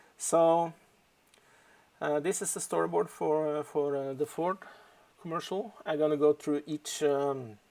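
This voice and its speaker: A man with a Norwegian accent and a dark, mellow tone speaks fairly slowly at a fairly high pitch, with long, frequent pauses. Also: ordinary pitch variation. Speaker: storyboard artist. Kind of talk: tutorial. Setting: home office live stream. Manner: halting.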